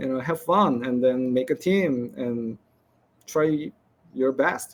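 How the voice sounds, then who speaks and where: A man talks with a non-native accent. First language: not English. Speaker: game developer. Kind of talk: conference presentation Q&A. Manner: halting.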